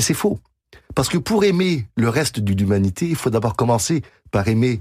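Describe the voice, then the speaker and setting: On a very clean recording with a silent background, a man at medium pitch speaks at a moderate pace in a somewhat breathy voice, keeping his loudness very even while his pitch swings very widely and he pauses long and often. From Quebec. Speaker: pianist and composer. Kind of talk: radio interview.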